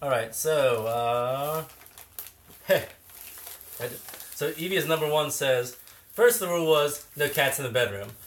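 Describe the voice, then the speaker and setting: Amid noticeable background noise, a man mumbles slowly in a fairly high voice with lively intonation and long, frequent pauses. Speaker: cat channel co-host. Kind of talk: livestream chat. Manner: mumbling.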